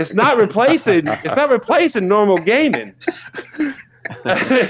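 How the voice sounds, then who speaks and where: An animated man's voice, high for a man, with very wide pitch swings at a fairly slow pace over noticeable background noise. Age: 40s. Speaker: podcast co-host. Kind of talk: casual chat.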